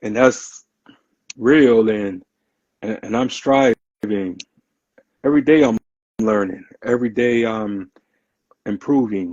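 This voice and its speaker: A man at a medium pitch and fairly slow pace, with long, frequent pauses. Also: ordinary pitch variation. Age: 30s. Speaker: podcast guest. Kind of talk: casual podcast interview.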